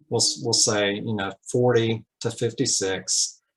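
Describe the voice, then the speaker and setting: A man speaks at a medium pitch with fairly even intonation over a quiet background. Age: 60s. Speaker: optometrist and patient. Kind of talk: panel discussion testimony. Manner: halting.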